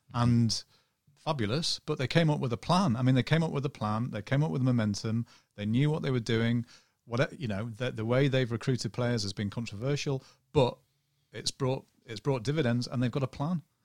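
Recorded very cleanly against a silent background, with a dry, close sound and no echo, a man of medium pitch talks at a fairly quick pace. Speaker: football journalist. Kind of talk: casual chat. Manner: monotone.

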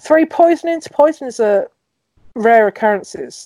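With a London accent, a woman speaks at a moderate pace in a dark, mellow tone, her pitch swinging very widely, in a dry, close sound with no echo. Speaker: podcast host. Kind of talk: casual chat.

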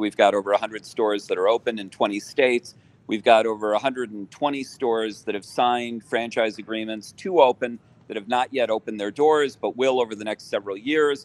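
An ordinary speaking voice from a man, medium in pitch and fairly even in intonation, at a moderate pace with a dry, close sound with no echo. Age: 60s. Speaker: lawyer and businessman. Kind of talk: interview.

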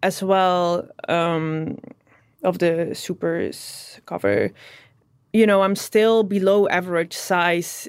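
With a Dutch accent, a woman of medium pitch speaks at a very slow pace with fairly even intonation. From southern Netherlands. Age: 30s. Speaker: fashion model. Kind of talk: interview.

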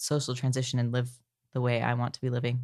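The setting behind this man is quiet. He speaks with an American accent. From California. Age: 20s. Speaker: transgender returned missionary. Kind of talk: interview. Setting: in a home.

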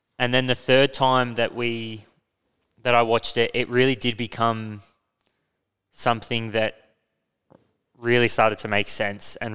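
A man with an Australian accent speaks at a moderate pace in a medium pitch, his flat, monotone delivery broken by long, frequent pauses, on a very clean recording with a silent background. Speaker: podcast host. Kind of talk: casual discussion of finance and history. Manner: casual, hesitant with fillers.

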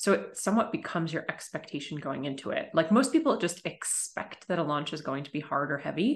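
Somewhat breathy and fairly low-pitched, a woman talks at a fairly quick pace with very wide pitch swings and big swings in loudness. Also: hardly any pauses. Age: 40s. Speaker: business coach. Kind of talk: podcast interview.

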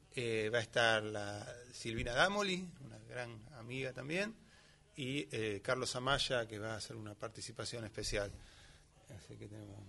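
A man of medium pitch speaks at a moderate pace with a bright, sharp tone, vocal fry, ordinary pitch variation, and big swings in loudness. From Greater Buenos Aires (Lomas de Zamora). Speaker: tango musician. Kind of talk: casual chat. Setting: studio.

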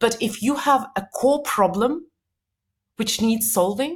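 Speaking with an Eastern European accent, a woman uses a fairly high, somewhat breathy voice. Her pace is fairly slow and her intonation lively. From former Soviet Union. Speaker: company cofounder and self-help author. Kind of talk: podcast interview. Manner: laughs often.

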